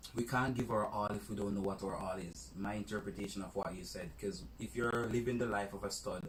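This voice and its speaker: A man's fairly low voice with ordinary pitch variation at a fairly quick pace, amid noticeable background noise. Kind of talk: casual chat.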